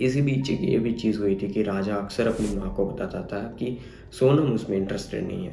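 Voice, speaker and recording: Fairly low in pitch, a man speaks at a moderate pace with ordinary pitch variation amid audible room echo. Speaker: true crime youtuber. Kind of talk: narration of crime story.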